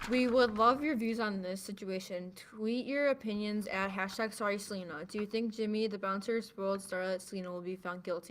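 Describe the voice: At a fairly quick pace, a woman speaks at a medium pitch with ordinary pitch variation.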